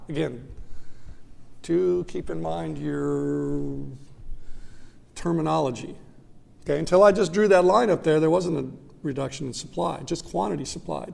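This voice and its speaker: Long, frequent pauses with audible room echo. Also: man. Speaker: economics professor. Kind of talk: lecture. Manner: fast.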